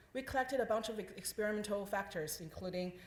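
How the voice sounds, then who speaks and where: A woman speaks at a very fast pace and medium pitch. Her pitch varies in an ordinary way, and there is audible room echo. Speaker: scientist presenting research. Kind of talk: conference talk. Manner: loud.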